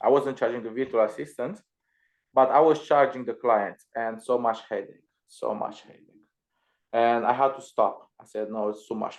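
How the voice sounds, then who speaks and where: A man with a Romanian accent speaks at medium pitch and a moderate pace. His intonation is fairly even, while his loudness swings widely. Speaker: Amazon seller and virtual assistant trainer. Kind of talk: casual chat. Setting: live stream video call.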